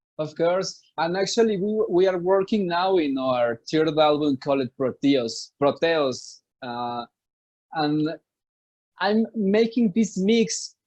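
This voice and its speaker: A man with a Spanish accent talks at a very slow pace, his high pitch carrying lively intonation. The background is quiet. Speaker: musician. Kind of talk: interview. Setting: video call. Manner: halting.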